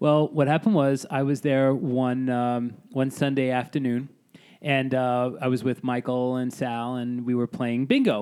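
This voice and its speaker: This man speaks with a New York accent. His pitch sits in the medium range. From Staten Island, New York. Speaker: singer-songwriter. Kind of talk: casual chat.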